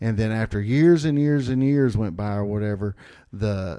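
In an ordinary speaking voice, a man talks at a moderate pace with fairly low pitch and ordinary pitch variation, recorded very cleanly against a silent background. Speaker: podcast guest. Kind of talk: casual chat.

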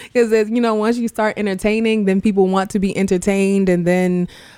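With an American accent, a woman speaks at a medium pitch and moderate pace. Her tone is dark and mellow, her intonation fairly even. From Far Rockaway, Queens, New York. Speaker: school director and rapper. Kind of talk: casual interview.

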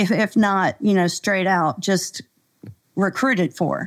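A plain, everyday voice speaks at a fairly slow pace with an American accent and ordinary pitch variation. The recording is very clean, with a silent background. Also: woman. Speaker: executive coach. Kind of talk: casual interview chat.

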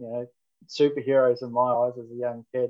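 In a New Zealand accent, a man speaks at medium pitch with monotone, flat intonation. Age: 40s. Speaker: firefighter and station officer. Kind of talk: interview.

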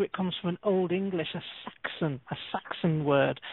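A woman with an unremarkable speaking voice talks at a fairly slow pace. Her intonation stays fairly even. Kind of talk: radio show conversation. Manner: cheerful, chatty.

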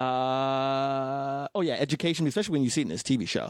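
A man speaks in an unremarkable speaking voice at a fairly high pitch and a moderate pace. The recording is very clean, with a silent background and a dry, close sound with no echo. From North Las Vegas, Nevada, US. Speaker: stand-up comedian. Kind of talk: casual chat.

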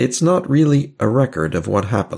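The speech moves at a very slow pace with vocal fry and a calm, soothing tone. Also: man. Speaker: hypnotherapist guiding listeners. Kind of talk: guided hypnosis induction. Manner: slow, calm, soothing, hushed and unhurried.

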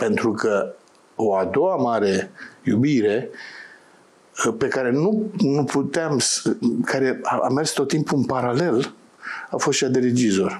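The speech moves at a very slow pace with long, frequent pauses. Pitch swings very widely while loudness stays very even. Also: man, medium pitch for a man. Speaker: theatre director. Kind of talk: interview.

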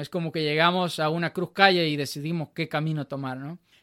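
The sound is dry and close, with no echo, on a very clean recording with a silent background. Intonation stays fairly even. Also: man. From El Salvador, Chalatenango. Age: 20s. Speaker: student and church musician. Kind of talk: casual interview testimony. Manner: halting, many repetitions and fillers.

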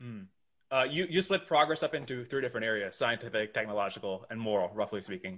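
A man at medium pitch with lively intonation, talking at a very fast pace. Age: young. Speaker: podcast host. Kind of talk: interview conversation.

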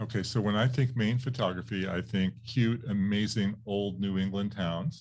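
A normal speaking voice from a man, fairly low in pitch, with fairly even intonation, a moderate pace, and hardly any pauses, on a very clean recording with a silent background. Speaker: interviewer and podcast host. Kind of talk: interview.

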